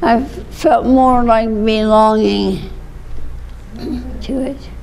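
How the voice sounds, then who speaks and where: A woman talks very slowly with noticeable background noise behind her. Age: 80s+. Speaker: retired speech and journalism instructor. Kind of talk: interview answer. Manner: reminiscing, conversational.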